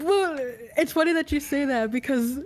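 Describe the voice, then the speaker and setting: With lively intonation and a moderate pace, a woman talks against noticeable background noise. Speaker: podcast member.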